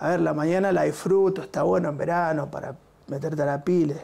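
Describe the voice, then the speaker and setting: A man talks at a moderate pace. His pitch is fairly high. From Argentina, Buenos Aires area (Quilmes); Argentina. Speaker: musician, bassist and music school director; teacher, interview guest. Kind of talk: interview. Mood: relaxed, warm. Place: studio. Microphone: lapel.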